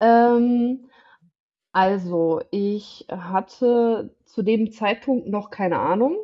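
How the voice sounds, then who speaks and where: A woman's voice, pitched fairly high, comes through at a very slow pace. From northern Germany, village near Osnabrück. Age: 20s. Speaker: podcast guest sharing patient experience. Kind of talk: casual chat.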